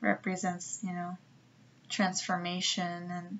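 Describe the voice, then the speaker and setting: A somewhat breathy woman's voice at medium pitch. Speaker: tarot reader. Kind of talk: tarot reading monologue. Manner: hesitant, many fillers.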